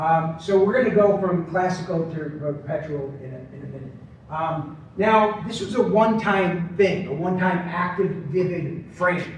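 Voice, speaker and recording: With an American accent, a man speaks at a moderate pace in a high pitch, his loudness swinging widely and his pitch varying in an ordinary way, amid noticeable background noise and audible room echo. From Long Island, New York. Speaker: conference speaker on persuasion. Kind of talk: conference presentation. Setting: stage with audience. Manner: conversational, many fillers and false starts.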